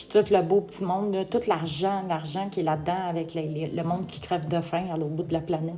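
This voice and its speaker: In a fairly low voice with a dark, mellow tone, a woman talks fairly quickly with monotone, flat intonation. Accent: Quebec. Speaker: vlogger. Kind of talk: casual opinion vlog. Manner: hesitant, frequent fillers; tremulous voice.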